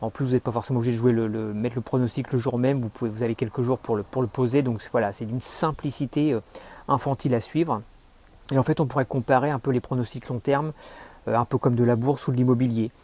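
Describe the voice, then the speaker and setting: Delivered at a very fast pace with fairly even intonation, the speech comes through on a very clean recording with a silent background. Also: man, dry, close sound with no echo. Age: 40s. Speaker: customer giving a testimonial. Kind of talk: testimony. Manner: halting, many fillers.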